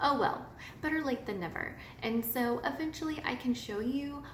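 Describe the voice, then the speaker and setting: At a moderate pace, a speaker with an American accent is heard with audible room echo and noticeable background noise. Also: woman. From US Midwest, northwest Missouri. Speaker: knitting podcaster. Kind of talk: casual personal story monologue.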